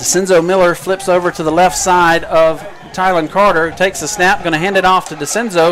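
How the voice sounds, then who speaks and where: Music plays in the background and the room echo is audible. A man talks at a fairly quick pace in a raised, projected voice with a high pitch. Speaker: play-by-play announcer. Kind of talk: live commentary. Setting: press box above stadium crowd. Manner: loud, yelling.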